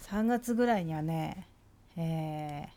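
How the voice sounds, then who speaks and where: A woman speaks very slowly. Her tone is dark and mellow. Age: 50s. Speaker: vlogger. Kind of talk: casual monologue. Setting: lying on a sofa.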